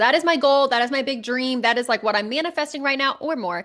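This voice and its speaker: A woman speaks loudly at a high pitch. Her tone is animated and energetic. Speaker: podcast host and life coach. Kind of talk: casual solo podcast monologue. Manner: animated, energetic.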